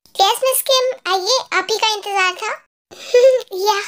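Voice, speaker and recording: Someone puts on a character voice pitched extremely high. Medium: read story. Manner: firm, formal, clipped.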